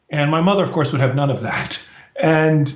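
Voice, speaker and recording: A man with an American accent talks at a fairly quick pace in a fairly high pitch, with audible room echo. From US, Washington DC. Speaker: professor. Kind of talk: interview storytelling.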